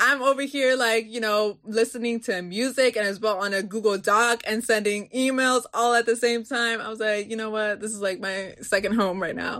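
A woman with a Baltimore accent talks at a fairly high pitch with fairly even intonation and hardly any pauses. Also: moderate pace. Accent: Baltimore American English. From Baltimore, US. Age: young. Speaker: student advocate. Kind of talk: interview. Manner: casual, lots of fillers.

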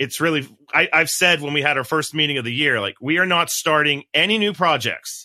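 A man speaks at a moderate pace in a fairly high pitch with a bright, sharp tone and ordinary pitch variation, on a very clean recording with a silent background. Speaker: podcast host and biology researcher. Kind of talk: casual podcast interview.

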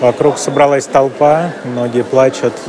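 A man speaks at a very slow pace and a medium pitch. The recording has noticeable background noise and audible room echo. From Russia. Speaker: intensive care doctor. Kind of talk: voice message report; interview.

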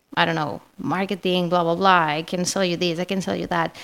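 In a very clean recording with a silent background, a woman with a Spanish accent and fairly low pitch speaks at a moderate pace. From Spain. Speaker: marketing manager. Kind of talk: interview.

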